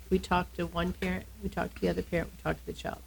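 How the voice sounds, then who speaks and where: Speaking in an American accent, a woman moves at a very fast pace. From Texas, El Paso. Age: 60s. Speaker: family law attorney. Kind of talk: casual interview.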